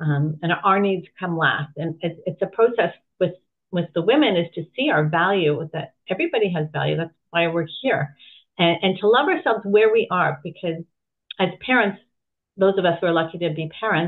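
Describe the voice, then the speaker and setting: A woman using a normal speaking voice delivers her words in a fairly low register, keeping an even tempo and ordinary rise and fall in pitch. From Canada, Toronto. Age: 60s. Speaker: women's health coach. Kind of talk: interview conversation.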